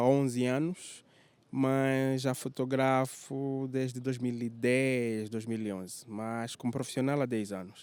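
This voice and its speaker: With a normal speaking voice, a man talks at a medium pitch and a fairly slow pace, keeping his intonation fairly even. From Angola, Lubango and Luanda. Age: 30s. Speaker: tour guide and photographer. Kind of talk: interview. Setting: hotel.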